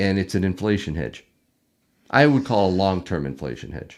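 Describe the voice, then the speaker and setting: In a very deep, low voice with vocal fry, a man speaks fairly slowly, his pitch swinging very widely, on a very clean recording with a silent background. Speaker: YouTube host, precious metals stacker. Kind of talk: casual live stream talk.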